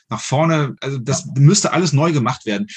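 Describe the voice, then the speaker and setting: Against a quiet background, a man talks in a fairly high pitch with a somewhat breathy quality. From Germany, Düsseldorf. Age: 40s. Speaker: firearms instructor and hunter. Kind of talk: casual interview.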